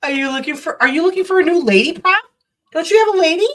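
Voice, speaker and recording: A woman's voice, extremely high in pitch, with a bright, sharp tone. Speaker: livestreamer. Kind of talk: casual chat.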